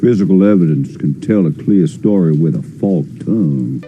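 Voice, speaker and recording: Putting on a character voice, a man drawls at a moderate pace with a very deep, low pitch and a strong Southern US accent. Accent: pronounced Southern drawl. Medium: short film. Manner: drawling, florid.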